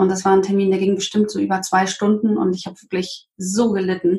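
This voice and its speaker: A woman's fairly quick speech comes out somewhat breathy. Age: 40s. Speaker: green business networker, interview guest. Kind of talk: personal testimony in interview. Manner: hesitant, with fillers.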